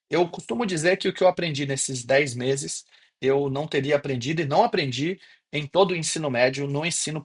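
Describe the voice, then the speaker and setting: Speaking at a fairly quick pace, a man uses ordinary pitch variation. His voice sits at a fairly high pitch and sounds somewhat breathy. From Brazil, interior of Bahia (Gandu). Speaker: professor. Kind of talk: online class. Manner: casual.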